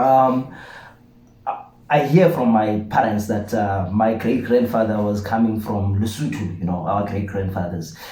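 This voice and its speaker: Speaking at a fairly slow pace in a South African accent, a man with a fairly low pitch and ordinary pitch variation is heard with audible room echo. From South Africa, Eastern Cape. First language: isiXhosa. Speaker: channel co-host. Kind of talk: casual chat. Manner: halting, many repeated words.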